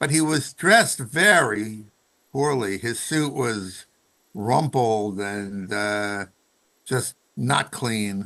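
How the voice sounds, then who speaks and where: Against a quiet background, a man speaks in a bright, sharp tone with lively intonation. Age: 70s. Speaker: psychologist. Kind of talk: storytelling interview.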